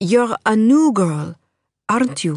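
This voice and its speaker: The voice is a shrill, put-on character voice. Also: female-sounding voice. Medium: read story. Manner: nervous and uncertain, warm.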